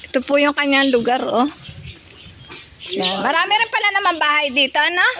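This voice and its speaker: Noticeable noise fills the background while someone talks fairly fast. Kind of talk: casual vlog narration to camera. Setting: outdoors. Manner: polite, upbeat.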